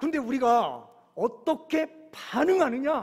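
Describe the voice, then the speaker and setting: A man speaks with a Chungcheong accent at a very slow pace. His intonation is lively. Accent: Chungcheong dialect, slow speech. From Korea, Chungcheong (Yesan). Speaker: pastor. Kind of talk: sermon. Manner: occasional stammer.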